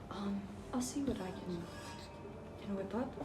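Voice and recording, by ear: Clear background noise sits behind a woman speaking. Her pace is fairly slow, with ordinary pitch variation. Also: medium pitch for a woman.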